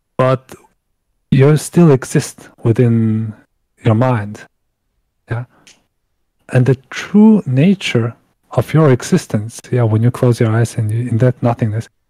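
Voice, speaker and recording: In a dark, mellow, somewhat breathy tone, the speaker goes at a very slow pace with long, frequent pauses and ordinary pitch variation, recorded with a dry, close sound and no echo. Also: man, medium pitch for a man. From Mongolia. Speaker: guest from Mongolia. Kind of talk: podcast interview.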